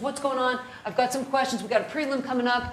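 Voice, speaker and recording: In an American accent, a woman talks at a very fast pace in a high voice, with audible room echo and noticeable background noise. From New Jersey (North Jersey). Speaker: criminal defense lawyer, trainer. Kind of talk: lecture.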